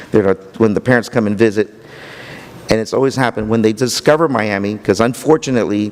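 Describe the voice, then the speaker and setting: A man speaks over noticeable background noise. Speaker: county economic development official. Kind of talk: conference talk. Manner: halting, repeats words.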